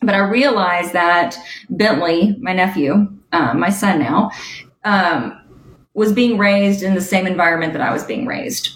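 A woman speaks with an American accent at a medium pitch. Her intonation is lively and her voice somewhat breathy. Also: moderate pace. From US South, Alabama. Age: 30s. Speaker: executive coach and author. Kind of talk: podcast interview.

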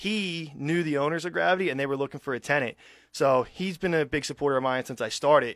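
Recorded very cleanly against a silent background, a man speaks with a slight Philadelphia accent. His fairly high pitch shows ordinary variation in a dry, close sound with no echo. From Philadelphia area, US. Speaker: restaurant owner, military veteran. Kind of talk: radio interview.

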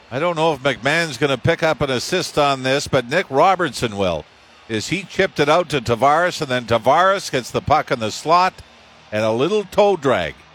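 Moderate pace and lively intonation in a plain, everyday voice, a man's, fairly high in pitch. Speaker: hockey colour commentator. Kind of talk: live sports replay analysis. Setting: broadcast booth at arena. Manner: conversational, explanatory breakdowns.

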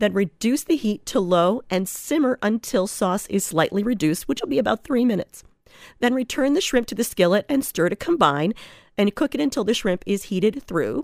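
A woman's fairly high voice with very wide pitch swings, very even loudness and a fairly quick pace, in a very clean recording with a silent background and a dry, close sound with no echo. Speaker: radio host. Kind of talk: recipe tutorial. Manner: quick but measured.

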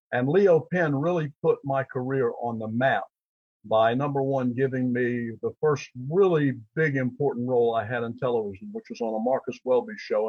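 A man speaks at a moderate pace in a medium pitch, his voice somewhat breathy. His pitch variation is ordinary. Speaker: actor and author. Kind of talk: interview.

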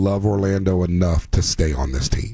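Here is an unremarkable speaking voice from a man, fairly low in pitch. He talks at a moderate pace with lively intonation. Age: 40s. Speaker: sports radio host. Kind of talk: sports talk radio. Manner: casual, laughing.

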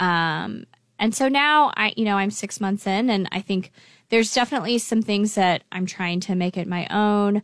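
Recorded very cleanly against a silent background, a woman with an American accent uses a plain, everyday voice at a medium pitch, a moderate pace and ordinary pitch variation. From Lincoln, Nebraska, US Midwest. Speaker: nonprofit executive director. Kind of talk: radio interview.

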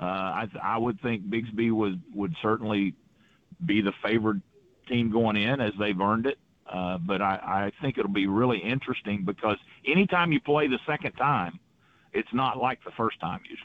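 A man with an American accent, fairly low in pitch, with lively intonation at a moderate pace. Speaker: high school football coach. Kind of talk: radio interview. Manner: animated; halting.

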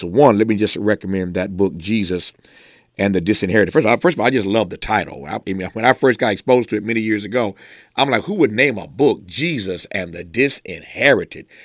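A man with an American accent and an ordinary speaking voice talks at a fairly quick pace and fairly low pitch. The recording is very clean with a silent background, and the sound is dry and close with no echo. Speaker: radio host. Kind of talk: radio show hosting, introducing and closing. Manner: formal.

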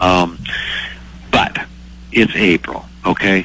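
A man with an American accent speaks at a very deep, low pitch. Noticeable background noise runs underneath. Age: 60s. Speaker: commodity market advisor. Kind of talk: radio interview. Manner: halting, many fillers.

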